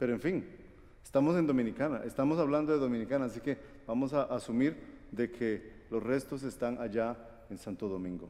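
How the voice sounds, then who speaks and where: The words come at a fairly quick pace. A dark, mellow tone colors the voice. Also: man, medium pitch for a man, ordinary pitch variation. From Guatemala. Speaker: preacher. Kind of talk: sermon.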